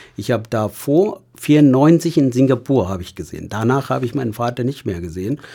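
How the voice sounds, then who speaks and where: A man with a Tamil accent talks at a fairly quick pace with hardly any pauses. His medium-pitched voice carries lively intonation. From Sri Lanka, Tamil. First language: Tamil (speaking German). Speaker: hospital patient companion. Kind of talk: casual interview.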